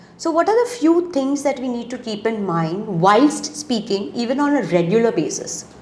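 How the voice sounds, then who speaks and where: Amid noticeable background noise, a woman with a high pitch speaks at a moderate pace with very wide pitch swings and hardly any pauses. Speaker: interviewer, career counsellor. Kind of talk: interview.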